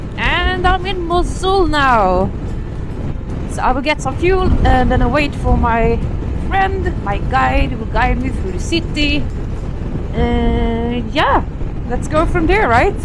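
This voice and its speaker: A woman speaks at a very slow pace with long, frequent pauses. Music plays in the background. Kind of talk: casual vlog chat. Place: motorbike.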